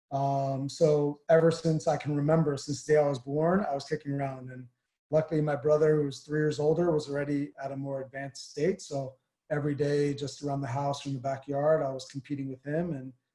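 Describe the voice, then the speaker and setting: A man speaks with a New Jersey accent at a fairly high pitch. His intonation is monotone and flat, and his pace is fairly quick. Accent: New Jersey American. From northern New Jersey, US. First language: Armenian. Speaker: former pro soccer player. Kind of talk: interview. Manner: hesitant, many fillers.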